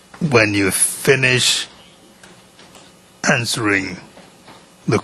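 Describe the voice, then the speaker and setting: A man talks at a very slow pace. Noticeable background noise sits behind him. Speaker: judge. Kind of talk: courtroom instructions to a witness. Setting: courtroom. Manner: formal.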